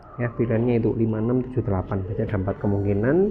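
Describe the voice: A man at a very fast pace, fairly low in pitch, with fairly even intonation.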